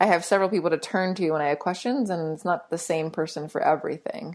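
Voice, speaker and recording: An unremarkable speaking voice from a woman, fairly low in pitch with ordinary pitch variation. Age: 30s. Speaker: ice cream company founder. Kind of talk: interview.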